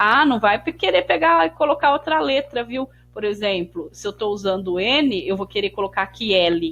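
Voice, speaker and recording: A woman with a normal speaking voice, medium pitch, lively intonation, moderate pace and hardly any pauses. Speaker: math teacher. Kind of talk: tutorial.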